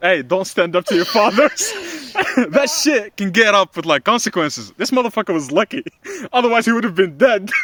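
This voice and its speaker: A loud, high-pitched man with an animated tone at a fairly quick pace, in a dry, close sound with no echo. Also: lively intonation. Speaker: podcast co-host. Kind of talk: casual chat. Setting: outdoors.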